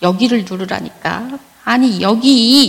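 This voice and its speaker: A woman with a normal speaking voice, a fairly slow pace and ordinary pitch variation. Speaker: church member giving testimony. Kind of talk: testimony. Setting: church. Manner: read from prepared text.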